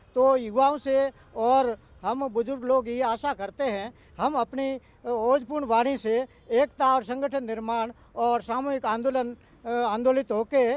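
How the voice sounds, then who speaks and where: Against a quiet background, a man's extremely high-pitched voice comes through monotone and flat, with a dry, close sound and no echo. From Rajasthan, Barmer desert region. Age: 60s. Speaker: activist. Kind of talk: interview. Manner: halting.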